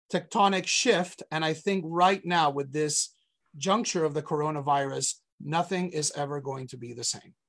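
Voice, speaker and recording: A man speaking at a fairly slow pace with ordinary pitch variation, over a quiet background. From Colombia. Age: 40s. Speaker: rabbi. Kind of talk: interview on a live webcast. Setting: online video call, streamed live.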